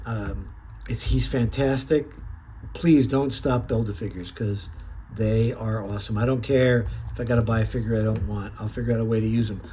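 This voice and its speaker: Amid audible room echo, a man with an American accent speaks at a fairly quick pace. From upstate New York. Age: 60s. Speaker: toy collector reviewer. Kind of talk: casual product review. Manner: animated.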